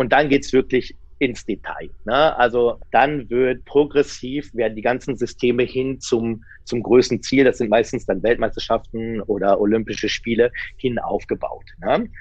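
A man with an unremarkable speaking voice talks at a fairly slow pace, his medium pitch held in fairly even intonation. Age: 40s. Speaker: sports scientist and coach. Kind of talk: interview.

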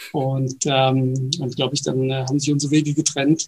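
Over noticeable background noise, a man talks at medium pitch and a moderate pace with monotone, flat intonation. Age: 40s. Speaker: innovation company executive. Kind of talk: interview. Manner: halting, many fillers.

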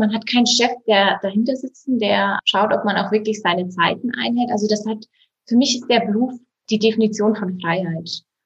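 A woman talks at a moderate pace in a fairly high voice with ordinary pitch variation. Her delivery is somewhat breathy. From Bavaria, Berchtesgadener Land. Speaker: insurance agent. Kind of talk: interview.

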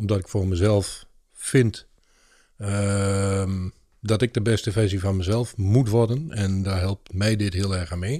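In a very clean recording with a silent background, a man with a fairly low pitch and a dark, mellow tone talks at a very slow pace with fairly even intonation. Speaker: podcast co-host and lunchroom owner. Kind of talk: casual chat. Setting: studio.

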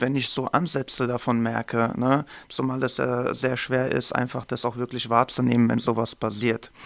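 Dry and close with no echo, a man speaks in a monotone, flat intonation. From Germany, Main-Taunus district (Hesse). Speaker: violence prevention trainer, podcast co-host. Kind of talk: casual introduction chat.

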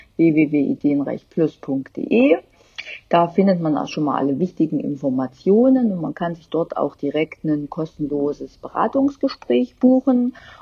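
Talking at a fairly slow pace, a woman uses a fairly low pitch with very wide pitch swings. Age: 30s. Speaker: interior designer. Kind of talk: interview.

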